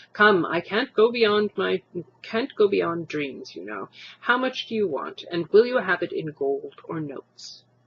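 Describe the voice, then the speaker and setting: In a put-on character voice, the speaker sounds gruff, fairly high-pitched and moderate in pace. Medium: read story. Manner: gruff, offhand.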